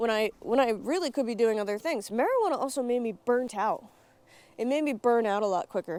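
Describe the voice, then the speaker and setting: On a very clean recording with a silent background, a woman speaks at a fairly quick pace with ordinary pitch variation. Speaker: YouTube vlogger. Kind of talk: unscripted vlog monologue. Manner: fast.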